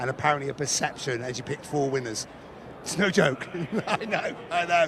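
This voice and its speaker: Against noticeable background noise, a man talks with a fairly high pitch and fairly even intonation. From England. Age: 40s. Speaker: racing fan, contest player's friend. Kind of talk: casual interview. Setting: casino tournament floor.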